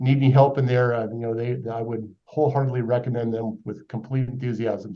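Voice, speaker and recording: A man's medium-pitched voice, dark and mellow in tone, at a fairly quick pace. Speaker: financial advisor. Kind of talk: webinar presentation. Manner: loud. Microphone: too quiet at first.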